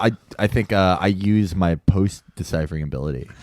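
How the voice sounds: Delivered at a moderate pace, the voice has a slightly mellow tone and ordinary pitch variation. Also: man, low pitch for a man.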